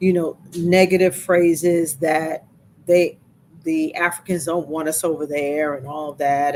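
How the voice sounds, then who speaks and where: Monotone and flat, a woman with an American accent speaks at a fairly low pitch. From United States. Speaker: travel vlogger. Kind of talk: live stream chat. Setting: Facebook and YouTube live stream.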